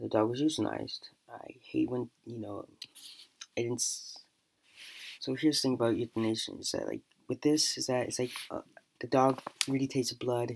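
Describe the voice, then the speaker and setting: The speech moves at a moderate pace. Long pauses come often. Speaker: podcast host. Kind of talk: casual commentary podcast. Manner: halting, many fillers.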